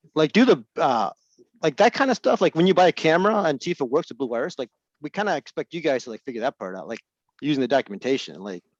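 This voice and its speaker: This man speaks very fast, with a fairly high pitch, very wide pitch swings and vocal fry. His loudness swings widely, and the sound is dry and close with no echo. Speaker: software support presenter. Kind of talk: webinar Q&A.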